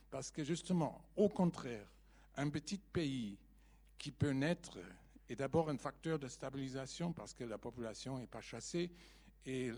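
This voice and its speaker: With a German accent, a man talks in a dark, mellow tone and with ordinary pitch variation. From Germany. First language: German (speaking French). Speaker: audience member. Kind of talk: audience question.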